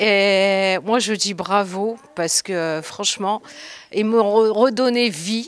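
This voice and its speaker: A woman is speaking. Her pace is very slow. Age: 60s. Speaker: fitness class member. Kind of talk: interview.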